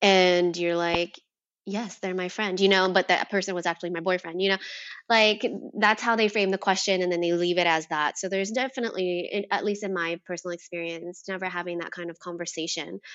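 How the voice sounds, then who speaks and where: Here is a woman with a normal speaking voice and an American accent, pitched in the medium range. She talks at a fairly quick pace with fairly even intonation. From US, Vietnamese American family. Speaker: gender equity educator. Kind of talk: casual chat.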